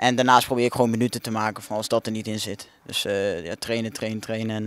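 The dry sound, with no echo, carries a man talking at a very fast pace in monotone, flat intonation. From Netherlands, Kampen (Overijssel); Netherlands. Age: young (18). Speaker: young football player. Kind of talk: interview. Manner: halting, many fillers and repetitions. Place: street. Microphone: handheld.

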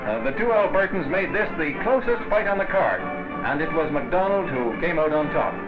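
Clear music sounds in the background. The speech moves at a moderate pace. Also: man. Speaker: newsreel narrator. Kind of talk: newsreel commentary. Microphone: old recording.

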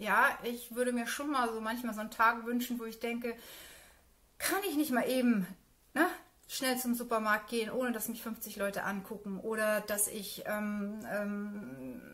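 A woman's fairly high, fairly bright voice with ordinary pitch variation.

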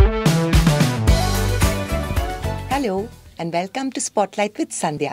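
Her speech is very slow as the woman talks. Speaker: talk show host. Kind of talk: talk show interview. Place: studio.

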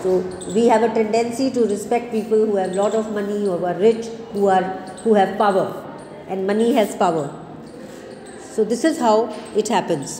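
Against noticeable background noise, a woman with a fairly high voice talks at a moderate pace, leaving long, frequent pauses. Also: ordinary pitch variation. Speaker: college English teacher. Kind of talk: lecture. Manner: explanatory, asks students questions.

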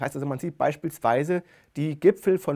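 With a quiet background behind him, a man speaks in a fairly high pitch and a dark, mellow tone, his pitch varying in an ordinary way. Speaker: speech researcher; lecturer on speech. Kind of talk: lecture. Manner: expressive intonation. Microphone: lapel.

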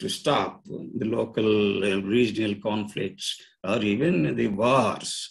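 A man talks with vocal fry against a quiet background. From India. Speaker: retired engineering professor. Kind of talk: presentation. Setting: video call. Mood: serious, worried. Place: home room. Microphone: video call.

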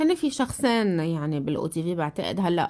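A woman speaks at a fairly slow pace with a Lebanese accent. Her pitch is fairly low, and the background is quiet. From Lebanon. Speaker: TV journalist, political talk show host. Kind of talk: casual chat, interview. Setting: studio with audience. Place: studio. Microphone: studio mic.

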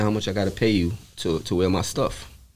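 This is a man speaking. He has an American accent. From New York, the Bronx. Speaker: podcast guest, apparel sales rep. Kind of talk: casual interview. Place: shop. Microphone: studio mic.

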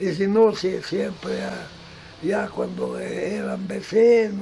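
Very slow speech from a man. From Cajamarca, Peru. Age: 80s+. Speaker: retired farmer. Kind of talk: interview answer. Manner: hesitant, halting.

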